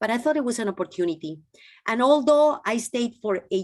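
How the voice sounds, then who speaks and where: A woman with a Peruvian accent, lively intonation, and a quiet background. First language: Spanish. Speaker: physician and former health minister. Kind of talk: interview. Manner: halting, with restarts.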